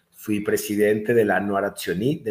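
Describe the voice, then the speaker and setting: Somewhat breathy, a man's voice holds a medium pitch. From Mexico. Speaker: chiropractor and messianic congregation leader. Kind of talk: interview testimony. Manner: animated.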